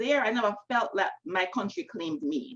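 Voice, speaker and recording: With a strong Jamaican accent, a woman speaks fairly quickly at a fairly high pitch, her pitch swinging very widely. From Jamaica, Kingston. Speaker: novelist. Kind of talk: panel discussion. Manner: casual, many fillers.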